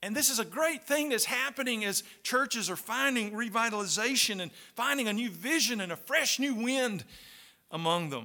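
Raising and projecting his voice, a man speaks at an extremely high pitch with a bright, sharp tone, lively intonation and a moderate pace. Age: 60s. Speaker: pastor and Bible college professor. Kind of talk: sermon. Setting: chapel service at a Bible college.

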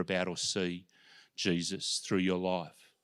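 In a very clean recording with a silent background, a man speaks with an Australian accent. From Australia, Melbourne. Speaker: pastor and former sports chaplain. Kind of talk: sermon. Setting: church.

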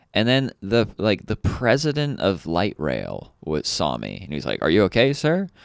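Speaking at a moderate pace with hardly any pauses, a man with a slight Kentucky accent uses a fairly low pitch, very wide pitch swings and vocal fry, recorded with a dry, close sound, no echo, a very clean signal and a silent background. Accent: slight Kentucky twang. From Louisville, Kentucky. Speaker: local comedian. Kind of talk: casual comedy podcast chat.

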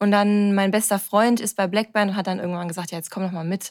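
A woman's plain, everyday voice at medium pitch and a fairly quick pace, dry and close with no echo, on a very clean recording with a silent background. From Ruhr area, Germany (Bochum). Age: 30s. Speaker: amateur athlete and influencer. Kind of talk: casual interview.

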